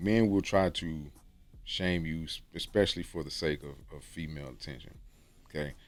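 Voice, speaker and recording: The voice moves at a moderate pace with ordinary pitch variation and big swings in loudness. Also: man, very deep, low pitch for a man. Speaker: YouTuber giving dating and self-improvement advice. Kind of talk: casual monologue to camera. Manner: casual, repetitive with many fillers.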